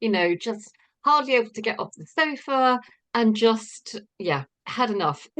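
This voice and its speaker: A plain, everyday voice from a woman, fairly high in pitch, with lively intonation, big swings in loudness and a fairly slow pace. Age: 60s. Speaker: participant. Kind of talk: testimony.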